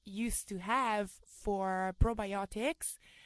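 Over a quiet background, a woman speaks very slowly at a medium pitch with fairly even intonation. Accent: Italian. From Italy. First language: Italian. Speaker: volleyball coach and kombucha entrepreneur. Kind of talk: interview conversation.

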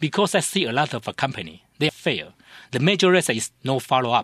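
Against a quiet background, a man with vocal fry speaks fairly quickly, his pitch swinging very widely. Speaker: company marketing executive. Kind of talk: radio interview. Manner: halting.

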